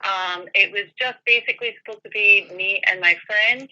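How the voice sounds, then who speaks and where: A woman in a Scottish accent, medium-pitched and bright, sharp in tone, at a moderate pace with ordinary pitch variation. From Scotland, Edinburgh. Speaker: paranormal investigator. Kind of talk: interview.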